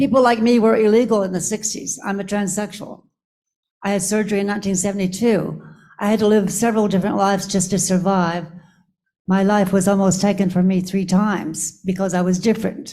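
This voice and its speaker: In an American accent, a woman talks fairly quickly with a somewhat breathy, dark, mellow tone and fairly even intonation, with audible room echo around her. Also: medium pitch for a woman. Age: 80s+. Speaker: audience member, activist. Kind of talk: audience comment. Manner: halting.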